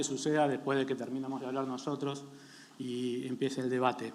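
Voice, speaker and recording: A man is speaking here. His pitch is fairly high and his pace moderate. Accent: Argentine. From Argentina. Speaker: company founder and CEO. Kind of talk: panel presentation.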